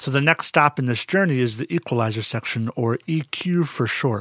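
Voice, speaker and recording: Recorded very cleanly against a silent background, the sound is dry and close with no echo. A man talks at a moderate pace with a fairly high pitch and ordinary pitch variation. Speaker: music teacher and podcast host. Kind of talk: educational podcast monologue. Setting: podcast recorded into a microphone. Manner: casual, chatty, explanatory.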